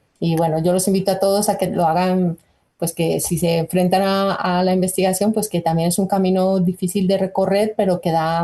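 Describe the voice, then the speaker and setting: A woman with a Colombian accent speaks at a fairly quick pace in a medium-pitched, somewhat breathy voice with a dark, mellow tone. Her intonation is flat and monotone, and her loudness stays very even. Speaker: nutrition researcher. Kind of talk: interview.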